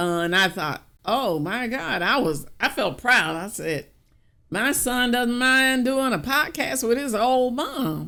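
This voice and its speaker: Speaking very slowly with an American accent, a woman uses a bright, sharp tone, a high pitch and very wide pitch swings. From US South, small country town. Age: 70s. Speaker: podcast co-host. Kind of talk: casual chat.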